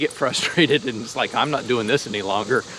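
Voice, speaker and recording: The dry sound with no echo carries a man speaking at a fairly quick pace with ordinary pitch variation over light background noise. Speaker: dog owner vlogger. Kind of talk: casual vlog chat. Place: forest. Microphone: phone near.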